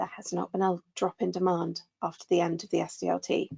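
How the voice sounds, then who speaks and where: A woman with a fairly low pitch speaks in a southern English accent. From southwest England. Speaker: burnout expert. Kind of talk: webinar discussion.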